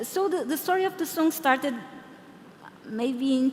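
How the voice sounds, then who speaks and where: A woman with a high voice and a Portuguese accent speaks at a fairly slow pace over noticeable background noise. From Portugal (Lisbon). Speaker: product designer and conference speaker. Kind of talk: conference Q&A answer. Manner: hesitant, many fillers.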